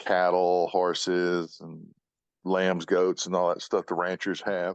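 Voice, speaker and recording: A man talks at a very slow pace in a very deep, low voice, with monotone, flat intonation. The sound is dry and close, with no echo. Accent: Texan. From Austin, Texas. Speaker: auto body shop owner. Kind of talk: interview.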